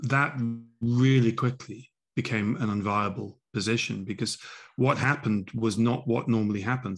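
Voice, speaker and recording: Against a quiet background, a man talks at a moderate pace and keeps his intonation fairly even. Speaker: remote guest. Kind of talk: interview answer. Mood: earnest, reflective. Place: home room. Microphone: video call.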